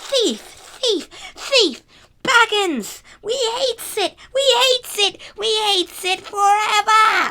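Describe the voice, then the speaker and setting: A put-on character voice, squeaky and pitched extremely high, delivered at a very slow pace. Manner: menacing, faint like an echo.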